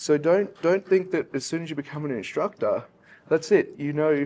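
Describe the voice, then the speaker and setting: A man with an Australian accent speaks at a fairly quick pace, and the background is quiet. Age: young. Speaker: industry instructor. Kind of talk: panel discussion. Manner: halting.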